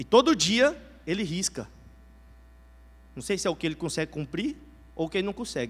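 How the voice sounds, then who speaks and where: A high-pitched man shows very wide pitch swings. He keeps a moderate pace. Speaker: preacher. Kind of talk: sermon.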